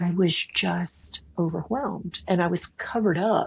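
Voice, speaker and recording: A woman's fairly low-pitched voice with ordinary pitch variation, at a fairly slow pace. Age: 60s. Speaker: author and leadership strategist. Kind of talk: interview. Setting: podcast. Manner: halting, frequent repetitions.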